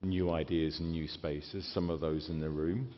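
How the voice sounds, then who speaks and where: In a British accent, a man speaks at a moderate pace with a very deep, low pitch. Audible room echo surrounds his voice. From Britain. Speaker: keynote speaker. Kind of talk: keynote speech. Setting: stage with audience.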